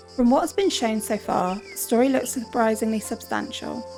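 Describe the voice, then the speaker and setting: A female speaker talks at a moderate tempo while music runs beneath her. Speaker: game reviewer. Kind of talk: game review voiceover.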